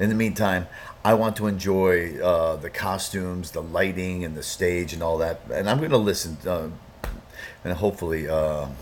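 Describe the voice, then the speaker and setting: A man's very deep, low voice comes through noticeable background noise and audible room echo. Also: ordinary pitch variation, moderate pace. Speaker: music reaction youtuber. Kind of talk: reaction video commentary. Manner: hesitant, many fillers.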